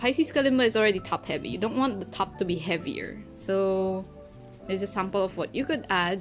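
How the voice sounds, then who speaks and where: Over music in the background, a woman at a medium pitch talks at a fairly quick pace with lively intonation. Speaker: kalimba player. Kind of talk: casual tutorial talk to camera.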